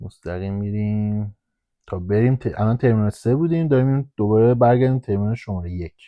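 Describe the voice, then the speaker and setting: A man's fairly low voice at a very fast pace. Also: ordinary pitch variation. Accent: Hamadani. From Iran, Hamadan. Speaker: airport ramp agent. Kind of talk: casual guided tour while driving. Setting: in a vehicle at the airport.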